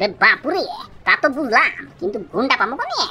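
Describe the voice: The voice is a cartoonish character one, delivered at a medium pace.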